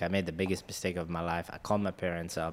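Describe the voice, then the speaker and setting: This man's very deep, low voice runs at a very fast pace in a monotone, flat intonation, captured in a very clean recording with a silent background. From Africa, born in Mumbai. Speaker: engineer and real estate investor. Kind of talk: casual interview.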